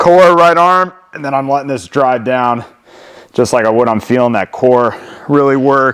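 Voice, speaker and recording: A man uses a put-on character voice that sounds strained. His pitch is medium and his pace moderate. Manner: strained, effortful.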